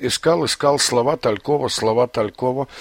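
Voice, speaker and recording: In a very clean recording with a silent background, a man's voice sits at a medium pitch. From Azerbaijan (Baku). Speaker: poet. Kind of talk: interview. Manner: halting, with fillers.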